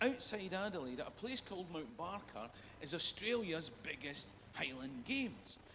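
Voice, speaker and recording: An animated voice in a Scottish accent with very wide pitch swings, a moderate pace and noticeable background noise. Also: man. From Scotland, Perth. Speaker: comedian. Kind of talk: stand-up.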